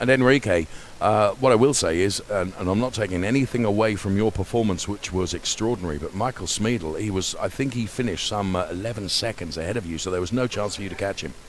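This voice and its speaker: Noticeable background noise is heard behind very fast speech. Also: man, fairly low pitch for a man, ordinary pitch variation, hardly any pauses. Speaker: sim racing broadcast host. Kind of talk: post-race interview.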